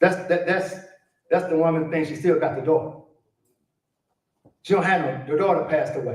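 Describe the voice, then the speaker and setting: A man with an American accent and a high pitch speaks in an animated tone, with audible room echo around him. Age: 70s. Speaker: conference speaker on Arabic education. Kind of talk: conference speech.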